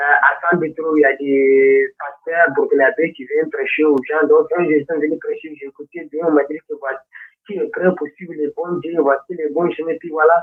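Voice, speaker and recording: At a moderate pace and a fairly high pitch, a man speaks in a flat monotone with hardly any pauses and big swings in loudness. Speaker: caller converting to Islam. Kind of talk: testimony. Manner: halting.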